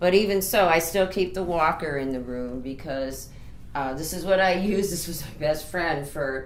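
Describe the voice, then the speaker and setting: A woman with a fairly low voice speaks at a moderate pace with ordinary pitch variation and big swings in loudness, amid noticeable background noise and audible room echo. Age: 60s. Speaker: author. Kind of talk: tutorial. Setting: home bedroom. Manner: casual.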